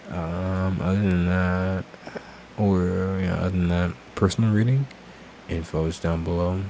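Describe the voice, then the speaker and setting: Against noticeable background noise, a man talks with a very deep, low pitch. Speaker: tarot reader. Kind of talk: casual chat.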